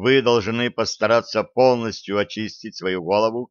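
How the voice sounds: The reading voice is natural. Intonation is fairly even over a quiet background.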